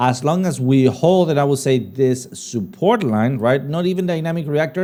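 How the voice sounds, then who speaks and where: A man with a non-native accent speaks in a medium pitch and a dark, mellow tone. His pace is fairly slow, with ordinary pitch variation. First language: not English. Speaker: crypto trading livestream host. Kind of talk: live Q&A stream. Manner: casual, hesitant with fillers.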